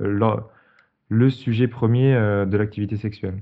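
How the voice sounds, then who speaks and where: A man's medium-pitched voice with ordinary pitch variation at a very slow pace. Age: 20s. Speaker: podcast host. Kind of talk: scripted intro; podcast interview.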